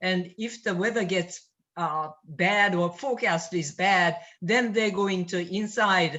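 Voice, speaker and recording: With a non-native accent, a woman talks at a very slow pace and a medium pitch. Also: ordinary pitch variation. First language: not English. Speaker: toastmasters club member. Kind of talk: casual chat. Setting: video call.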